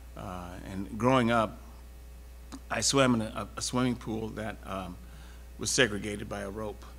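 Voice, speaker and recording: A man with an American accent, very deep and low in pitch, with vocal fry, very wide pitch swings, big swings in loudness, a fairly slow pace, long, frequent pauses and audible room echo. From Texas (Houston). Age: 70s. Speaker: panelist on civil rights and diversity. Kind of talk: panel discussion. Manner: halting, many fillers and restarts.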